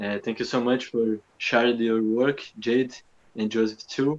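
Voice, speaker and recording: Against a quiet background, a man in a Portuguese accent speaks very slowly at a medium pitch. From southern Brazil. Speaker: dance artist. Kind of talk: post-show Q&A talk.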